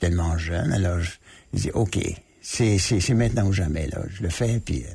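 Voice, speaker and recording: Male speech with ordinary pitch variation and vocal fry. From Manitoba, Canada. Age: 80s+. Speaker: author and former diplomat. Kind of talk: radio interview. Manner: hesitant, many fillers.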